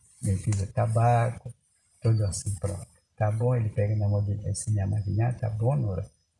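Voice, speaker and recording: A man with an Amazonas accent talks at a moderate pace in a fairly low, somewhat breathy voice. His loudness stays very even and his intonation fairly even. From Upper Rio Negro region, Amazonas, Brazil. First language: Baniwa (speaking Portuguese). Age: 70s. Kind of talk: oral storytelling to grandson. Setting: in a maloca around a fire at night.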